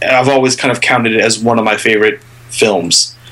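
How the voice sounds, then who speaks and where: A man of medium pitch talks at a moderate pace with fairly even intonation over noticeable background noise. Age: 30s. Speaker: film podcast co-host. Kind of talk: casual chat.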